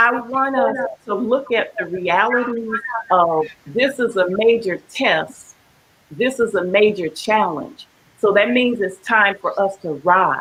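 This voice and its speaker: With noticeable background noise behind her, a woman talks fairly slowly, her fairly high voice carrying lively intonation. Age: 70s. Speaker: panelist, community elder. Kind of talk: panel discussion.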